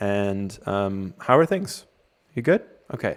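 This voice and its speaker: Speech in an American accent proceeds very slowly. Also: man. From US, Cleveland, Ohio. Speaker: webinar host. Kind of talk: panel discussion.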